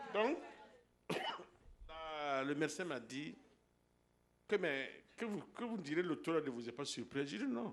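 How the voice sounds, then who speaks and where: A man talks at a very slow pace with long, frequent pauses, his pitch fairly high. The room echo is audible. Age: 60s. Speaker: church member giving healing testimony. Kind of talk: testimony. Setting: church. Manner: halting.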